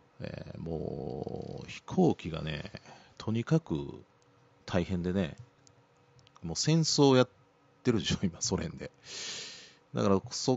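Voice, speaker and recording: This man's fairly low voice rises and falls in very wide pitch swings. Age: 50s. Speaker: radio host. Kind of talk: casual chat.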